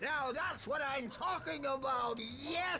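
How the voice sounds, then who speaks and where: A man uses a put-on character voice, raised and projected. He speaks at a fairly slow pace over clear background noise. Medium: video game.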